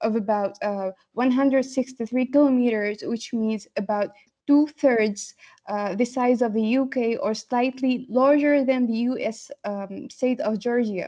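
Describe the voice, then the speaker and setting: In an Arabic accent, a woman with a high voice speaks at a fairly slow pace with fairly even intonation. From Tunisia, Sfax. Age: 20s. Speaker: postgraduate linguistics student. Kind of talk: competition presentation. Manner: hesitant with frequent fillers.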